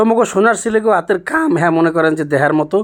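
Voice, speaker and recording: A man speaks with a Barishal accent. His pitch varies in an ordinary way. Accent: Barishal Bengali dialect. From Barisal, Bangladesh. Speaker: travel vlogger. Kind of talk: travel vlog narration.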